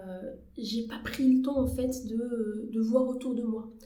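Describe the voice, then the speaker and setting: A woman with a fairly high pitch talks in a space with audible room echo. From Algeria, Algiers. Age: 20s. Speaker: journalist and actress. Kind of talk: podcast interview. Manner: hesitant, many fillers.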